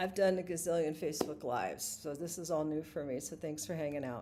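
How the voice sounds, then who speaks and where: Her voice is very deep and low in pitch, with ordinary pitch variation and a dark, mellow tone, as this woman speaks. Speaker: singer-songwriter and vlogger. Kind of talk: live stream monologue.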